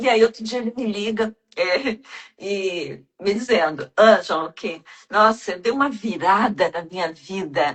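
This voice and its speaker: A woman speaks at a fairly slow pace in an unremarkable speaking voice, her medium pitch carried by lively intonation. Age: 60s. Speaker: self-development mentor. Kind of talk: casual chat.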